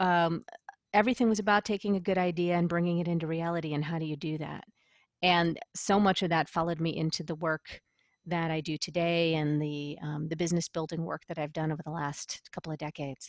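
A woman with an American accent uses an unremarkable speaking voice, fairly low in pitch with fairly even intonation, at a fairly quick pace in a dry, close sound with no echo and a quiet background. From Western New York (Buffalo area). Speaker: business coach and audio producer. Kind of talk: interview.

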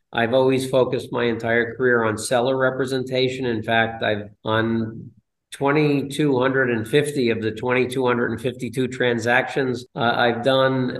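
With an American accent and a medium pitch, a man speaks at a fairly slow pace with monotone, flat intonation, and room echo is audible. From northern New Jersey. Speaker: commercial real estate broker. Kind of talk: interview.

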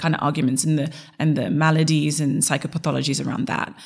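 A woman's somewhat breathy voice at a very fast pace, in a very clean recording with a silent background. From Zimbabwe. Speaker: identity coach. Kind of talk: interview conversation.

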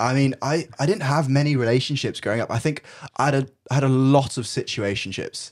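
In a very clean recording with a silent background, a man with a British accent speaks at a fairly quick pace, his fairly high pitch showing ordinary variation. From UK, Brazilian family. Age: 20s. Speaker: student. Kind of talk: casual chat.

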